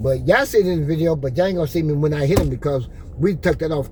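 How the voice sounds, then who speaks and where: A man at a fairly high pitch and a very fast pace, with audible room echo and noticeable background noise. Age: 60s. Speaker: vlogger. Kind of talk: casual chat. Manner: animated.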